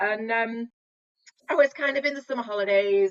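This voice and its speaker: This woman's voice sits fairly high and moves with lively intonation. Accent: Mancunian. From northern England, Manchester. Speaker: managing director of a software company. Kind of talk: interview.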